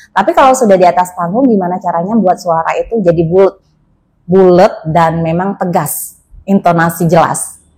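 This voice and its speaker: A woman's medium-pitched, somewhat breathy voice, moderate in pace, with ordinary pitch variation. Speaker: wedding and event MC. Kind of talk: interview conversation.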